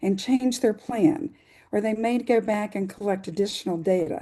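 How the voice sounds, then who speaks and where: A woman talks here. She speaks at a fairly high pitch. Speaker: science fair coordinator. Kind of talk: webinar presentation. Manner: fast.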